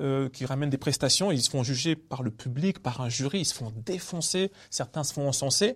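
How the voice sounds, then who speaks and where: Somewhat breathy man's voice at fairly high pitch, moderate pace with hardly any pauses, ordinary pitch variation, on a very clean recording with a silent background. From Paris suburbs, Villiers-le-Bel. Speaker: comedian. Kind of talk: casual interview. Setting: theatre venue.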